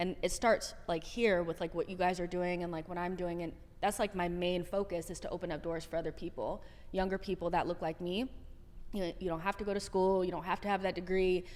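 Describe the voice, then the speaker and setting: The speaker has a Californian accent and a fairly quick pace. Intonation stays monotone and flat. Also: woman, medium pitch for a woman. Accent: Californian American English. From Southern California. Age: 30s. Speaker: soccer content creator. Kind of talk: podcast interview.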